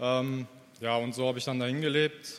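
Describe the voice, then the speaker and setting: A man talks at a medium pitch and a fairly slow pace. His intonation is monotone and flat. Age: 30s. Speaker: church member. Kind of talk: testimony. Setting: church service. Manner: halting.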